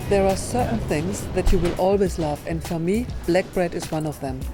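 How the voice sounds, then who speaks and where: With music in the background, a woman with a fairly low pitch talks at a moderate pace using lively intonation. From Germany. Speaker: chef and cooking show host. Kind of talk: cooking show host, casual talk to camera. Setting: indoors at a gourmet food market.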